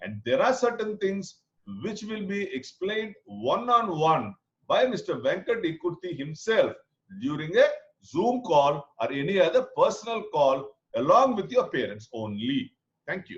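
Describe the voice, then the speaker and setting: At a moderate pace, a man with a Telugu accent talks with big swings in loudness. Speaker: program coordinator. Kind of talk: online info session.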